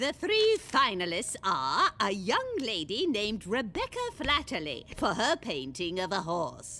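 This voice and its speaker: In a cartoonish character voice, a woman at a medium pitch talks at a fairly slow pace with hardly any pauses, over light background noise. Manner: formal, stately.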